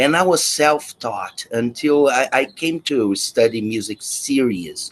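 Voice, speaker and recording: With a slight Brazilian accent, a man speaks at a fairly high pitch and a fairly slow pace. His intonation is lively, and he hardly pauses. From Brazil, Rio de Janeiro. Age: 50s. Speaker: guitar teacher. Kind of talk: interview.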